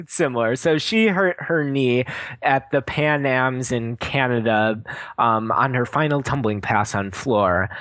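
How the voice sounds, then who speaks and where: This man has a Wisconsin accent and a medium-pitched voice, talking at a fairly slow pace against a quiet background. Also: ordinary pitch variation. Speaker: podcast co-host. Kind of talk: casual chat.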